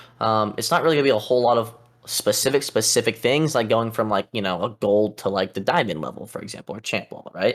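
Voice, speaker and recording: A man with a medium pitch races through his speech at a very fast pace. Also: ordinary pitch variation. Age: 20s. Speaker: esports coach. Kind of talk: coaching session reviewing gameplay. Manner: animated.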